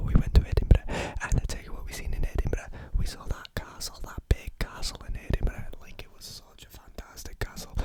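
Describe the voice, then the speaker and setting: Whispering in a playful tone at a fairly quick pace, the speaker swings widely in loudness over noticeable background noise. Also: man. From England. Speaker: ASMR creator. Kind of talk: casual talk to camera. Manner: rambling, playful, repetitive.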